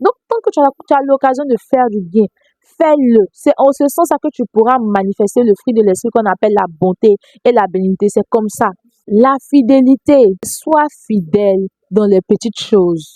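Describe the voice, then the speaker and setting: A woman's fairly high voice with lively intonation, dry and close with no echo, music playing in the background. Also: very even loudness. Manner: soft-spoken.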